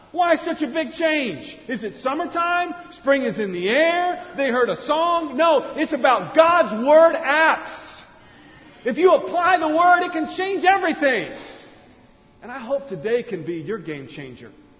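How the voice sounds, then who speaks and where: At a fairly slow pace and with lively intonation, the voice shows big swings in loudness, with audible room echo and noticeable background noise. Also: man, extremely high pitch for a man. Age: 40s. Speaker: pastor. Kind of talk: sermon.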